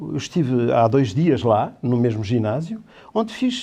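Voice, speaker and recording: A man speaks in a dark, mellow tone, his pitch swinging very widely. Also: quiet background. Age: 60s. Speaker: theatre director and teacher. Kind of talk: interview on a talk show. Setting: studio. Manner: halting.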